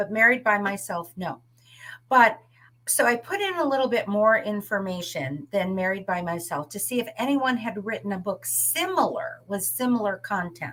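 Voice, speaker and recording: A woman's bright, sharp voice at medium pitch, with very wide pitch swings and a moderate pace. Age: 60s. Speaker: author, retired teacher. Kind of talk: interview.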